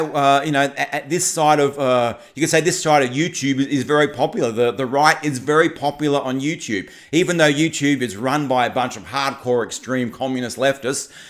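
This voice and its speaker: Ordinary pitch variation, hardly any pauses, and a very clean recording with a silent background. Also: man, fairly high pitch for a man, moderate pace. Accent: Australian. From Australia. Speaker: political commentary YouTuber. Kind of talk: livestream chat. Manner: animated; halting, many repetitions and fillers.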